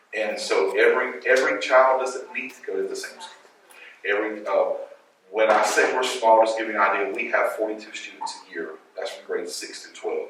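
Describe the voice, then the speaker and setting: Amid audible room echo, a man with an American accent talks at a fairly quick pace. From Louisiana, US South. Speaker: school director and educator. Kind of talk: panel talk at a schools conference. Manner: hesitant, with fillers and repetitions.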